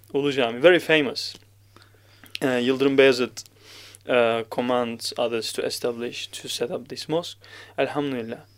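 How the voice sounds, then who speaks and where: Speaking at a moderate pace with a Turkish accent, a man makes big swings in loudness and leaves long, frequent pauses. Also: medium pitch for a man, fairly even intonation. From Turkey. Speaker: Quran reciter. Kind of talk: podcast interview. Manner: halting.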